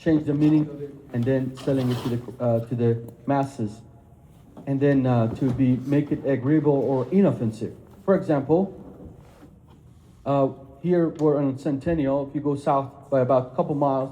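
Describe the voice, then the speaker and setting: Somewhat breathy and dark, mellow in tone, a man's fairly high voice moves at a moderate pace with fairly even intonation and audible room echo. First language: not English (English is third language). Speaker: speaker on Islam and Christianity. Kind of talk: lecture.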